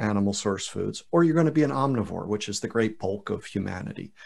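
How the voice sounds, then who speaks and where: Speaking fairly quickly, a man uses a plain, everyday voice of medium pitch with lively intonation. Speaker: podcast host. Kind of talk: casual podcast interview.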